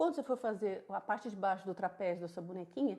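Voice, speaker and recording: Fairly quick and full of lively intonation, a woman speaks in a dark, mellow tone. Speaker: crochet teacher. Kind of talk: tutorial. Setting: live stream.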